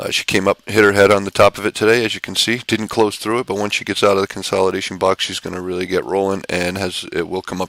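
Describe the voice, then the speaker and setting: A man with a fairly low pitch speaks at a very fast pace with hardly any pauses, in a dry, close sound with no echo. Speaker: stock trading educator. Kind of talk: market recap tutorial. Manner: animated.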